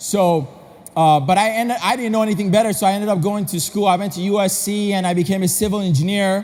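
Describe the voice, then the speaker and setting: A man speaks in an animated tone at a high pitch. His pace is very fast. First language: non-English. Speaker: motivational speaker. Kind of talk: convention speech. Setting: stage with audience.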